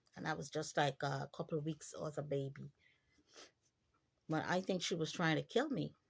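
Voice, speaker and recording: This woman's pitch sits very deep and low, with vocal fry and ordinary pitch variation. She moves at a moderate pace, leaving long, frequent pauses. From Guyana. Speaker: vlogger. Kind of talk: personal storytelling monologue. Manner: animated.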